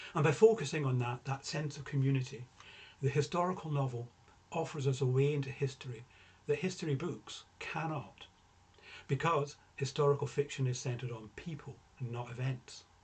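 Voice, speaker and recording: A man with fairly high pitch and a somewhat breathy voice. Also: ordinary pitch variation, moderate pace. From rural Scotland. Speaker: novelist. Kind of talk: prepared talk. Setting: recorded for online event.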